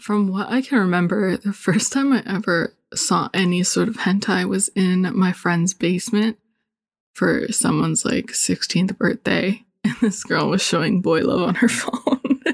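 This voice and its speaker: A woman speaks at a fairly slow pace with vocal fry, a medium pitch and ordinary pitch variation, in a dry, close sound with no echo. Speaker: graphic designer. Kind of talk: casual chat, hentai review.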